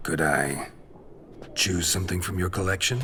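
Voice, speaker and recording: A man puts on a raspy character voice with a very deep, low pitch at a moderate pace, with clear background noise. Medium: machinima. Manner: terse, dry, low-key.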